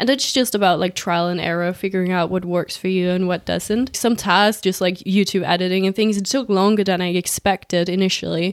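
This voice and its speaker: Speaking at a moderate pace with fairly even intonation, a woman has an unremarkable speaking voice on a very clean recording with a silent background. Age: 20s. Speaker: podcast host, social media consultant. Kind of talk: casual chat.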